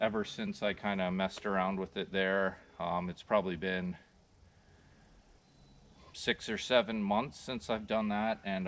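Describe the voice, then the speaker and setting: Over light background noise, a man talks at a moderate pace. His pitch is fairly low. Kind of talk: tutorial. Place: open country.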